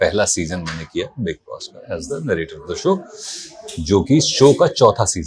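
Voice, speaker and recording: Over noticeable background noise, a man speaks with big swings in loudness. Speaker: voice artist; actor. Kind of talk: interview answer.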